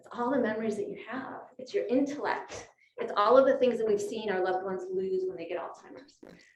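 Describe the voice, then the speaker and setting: Lively intonation marks a woman's fairly high-pitched, fairly quick speech, heard with audible room echo. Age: 50s. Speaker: physician and speaker. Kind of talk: lecture. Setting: luncheon talk with audience and Zoom. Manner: conversational.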